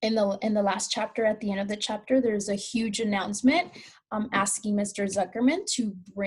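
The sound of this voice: The reading voice is unforced. Its intonation is fairly even.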